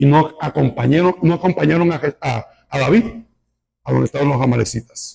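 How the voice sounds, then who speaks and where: Fairly slow and lively in intonation, a man with a fairly high pitch has a dark, mellow tone marked by vocal fry. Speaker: pastor. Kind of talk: sermon. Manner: animated.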